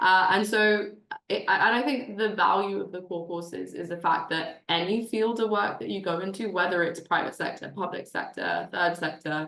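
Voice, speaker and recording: A woman talks at a medium pitch and moderate pace with ordinary pitch variation. Noticeable background noise is present. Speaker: program alumna. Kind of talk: online info session panel.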